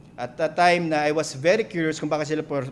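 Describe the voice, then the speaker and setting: A man talks fairly quickly while noticeable noise carries in the background. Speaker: pastor. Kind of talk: sermon.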